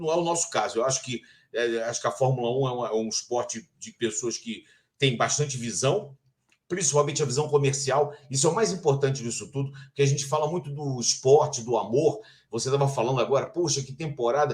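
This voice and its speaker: The voice moves at a fairly quick pace, somewhat breathy, with ordinary pitch variation. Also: man, fairly high pitch for a man. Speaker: sports journalist and broadcaster, Formula 1 TV narrator. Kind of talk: interview answer about Formula 1.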